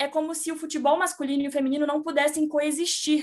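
A woman speaks here. Her pitch sits high. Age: 20s. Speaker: sports journalist. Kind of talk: casual chat.

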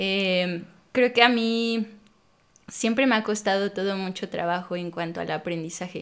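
In a plain, everyday voice, a woman speaks fairly slowly at medium pitch with ordinary pitch variation. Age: 30s. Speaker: pole dance instructor and studio owner. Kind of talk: casual interview chat.

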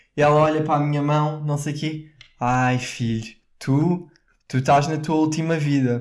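Audible room echo surrounds a man speaking at a moderate pace and fairly high pitch in a European Portuguese accent. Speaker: podcast co-host. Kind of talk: casual chat. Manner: animated.

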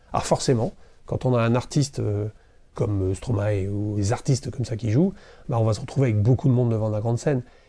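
Over a silent background in a very clean recording, a man speaks in a somewhat breathy, dark and mellow voice of medium pitch, with ordinary pitch variation and long, frequent pauses. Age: 50s. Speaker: festival president and entrepreneur. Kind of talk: interview. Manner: hesitant, many fillers.

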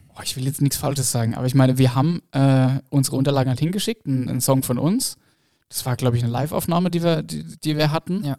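This man's voice sits fairly high in pitch, with a dark, mellow tone and ordinary pitch variation. The sound is dry and close, with no echo. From Baden-Württemberg (northern Baden). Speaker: blues rock musician. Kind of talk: casual interview chat.

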